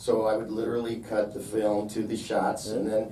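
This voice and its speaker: Speech at a moderate pace comes through noticeable background noise and audible room echo. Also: man. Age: 60s. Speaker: independent filmmaker. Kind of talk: Q&A after a film screening. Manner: casual, conversational.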